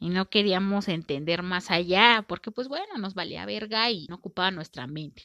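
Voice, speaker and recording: A woman with a Mexican accent speaks at a medium pitch in a bright, sharp tone, her loudness swinging widely, the sound dry and close with no echo. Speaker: podcast host. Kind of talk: casual monologue. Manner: informal, conversational.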